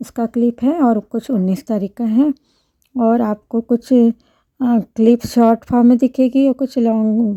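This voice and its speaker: A woman speaks at a fairly high pitch with a dark, mellow tone. The sound is dry and close with no echo, on a very clean recording with a silent background. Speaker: school chemistry teacher. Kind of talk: informal talk to camera. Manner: halting, with fillers.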